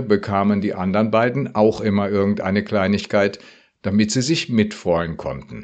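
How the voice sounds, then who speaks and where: A man with a fairly low pitch speaks at a moderate pace with ordinary pitch variation in an unremarkable speaking voice against a quiet background. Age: 60s. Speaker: retired pastor. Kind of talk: radio devotional.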